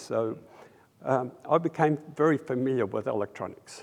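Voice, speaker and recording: A man with an Australian accent speaks at a fairly slow pace in a medium pitch, his intonation lively and his voice showing vocal fry. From Australia, raised by Russian-Polish refugee parents. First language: Russian. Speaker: audio engineer, industry award inductee. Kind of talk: interview. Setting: trade convention. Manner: halting, many fillers.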